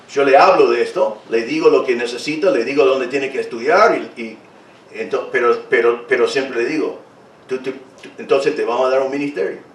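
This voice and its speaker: Over noticeable background noise and audible room echo, a man speaks at a fairly quick pace with big swings in loudness. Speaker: pastor. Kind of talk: sermon. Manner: halting, repeats words.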